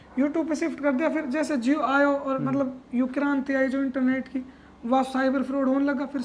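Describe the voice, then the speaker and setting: Noticeable background noise runs through the clip. The speaking pace is moderate. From Alwar, Rajasthan. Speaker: music composer and producer. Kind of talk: interview answer.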